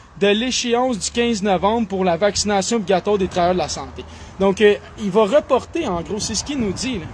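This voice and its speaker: A high-pitched man at a fairly quick pace, ordinary pitch variation, and noticeable background noise. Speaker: political commentator. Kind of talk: political monologue. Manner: animated.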